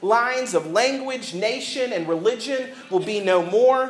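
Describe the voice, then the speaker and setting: Speaking at a moderate pace, a man has an extremely high pitch and lively intonation. Noticeable background noise and audible room echo are present. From US South. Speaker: pastor. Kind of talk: sermon. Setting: church.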